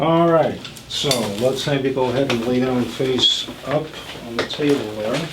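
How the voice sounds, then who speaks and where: A man is speaking. His voice has audible room echo and noticeable background noise. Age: 70s. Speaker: chiropractor. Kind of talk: explaining a treatment while working. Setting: chiropractic office, filmed.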